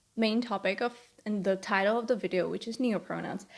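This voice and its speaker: In a very clean recording with a silent background, a woman with a non-native accent speaks at a fairly high pitch with fairly even intonation. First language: not English. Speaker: video commentator. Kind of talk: casual commentary video.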